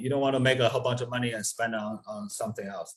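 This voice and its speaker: This man's voice is medium in pitch and somewhat breathy. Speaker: real estate investor. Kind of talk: podcast interview. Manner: hesitant with many fillers.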